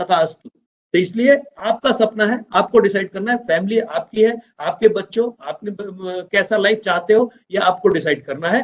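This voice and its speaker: The man's voice is high in pitch. It shows ordinary pitch variation. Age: 60s. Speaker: business trainer. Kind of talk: business training talk.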